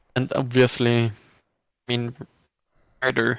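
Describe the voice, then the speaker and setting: A man's medium-pitched voice with flat, monotone intonation. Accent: non-native. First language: not English. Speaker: online reality game contestant. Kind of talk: casual chat. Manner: halting.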